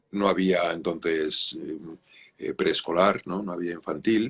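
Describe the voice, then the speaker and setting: Very slow, very deep, low speech from a man, the intonation fairly even throughout. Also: long, frequent pauses. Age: 60s. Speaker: children's author. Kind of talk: interview. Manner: halting.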